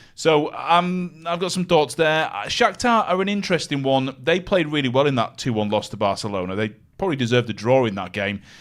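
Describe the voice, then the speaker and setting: Loud, fairly quick male speech with very wide pitch swings, on a very clean recording with a silent background. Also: fairly high pitch for a man, hardly any pauses. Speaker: football betting pundit. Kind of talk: live sports betting show chat.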